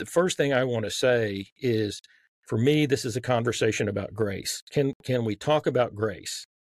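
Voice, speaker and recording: A man with a Southern US accent talks at a medium pitch and moderate pace, with ordinary pitch variation. The recording is very clean with a silent background, and the sound is dry and close with no echo. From Texas. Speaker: author.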